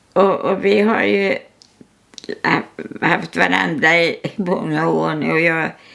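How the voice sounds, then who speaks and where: A woman speaks very slowly, her loudness staying very even throughout. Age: 100s (103 years old). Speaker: artist. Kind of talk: casual chat. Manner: halting.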